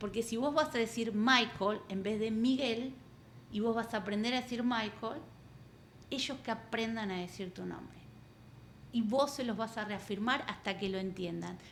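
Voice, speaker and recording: Speaking with an Argentine accent, a woman talks at a fairly slow pace in a fairly high voice with ordinary pitch variation. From Argentina. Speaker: coach and therapist. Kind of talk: interview.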